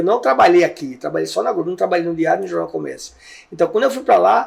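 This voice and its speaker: A man's voice over noticeable background noise. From Brazil, Recife (Pernambuco). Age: 60s. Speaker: investigative journalist. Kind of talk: interview.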